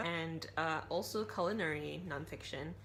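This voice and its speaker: A woman speaks with a fairly low pitch and a bright, sharp tone. Vocal fry creeps into her voice, and room echo is audible. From Malaysia. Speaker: book vlogger. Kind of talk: casual vlog talk.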